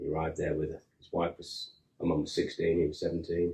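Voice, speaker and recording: A very fast pace in a strong English accent. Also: man. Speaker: film set construction worker. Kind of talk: interview. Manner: halting.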